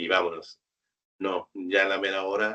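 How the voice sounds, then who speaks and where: A man speaks at a very slow pace. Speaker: automation programmer, freelance engineer. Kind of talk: webinar interview.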